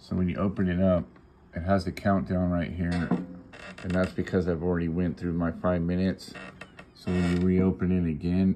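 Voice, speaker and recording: Speech at a moderate pace comes with light background noise. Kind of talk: tutorial. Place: home room. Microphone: phone near.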